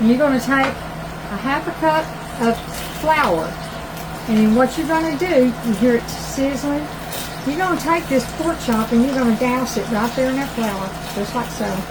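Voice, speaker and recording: With a Southern US accent and a high pitch, a woman talks at a moderate pace with lively intonation and long, frequent pauses, while music plays in the background and room echo is audible. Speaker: cooking channel host. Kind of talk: cooking tutorial. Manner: loud; animated.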